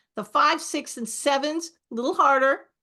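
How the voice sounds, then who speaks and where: Raised and projected, a woman's voice sits high in pitch with a bright, sharp tone and ordinary pitch variation. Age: 60s. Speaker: author and speaker on forgiveness. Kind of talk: interview on a podcast.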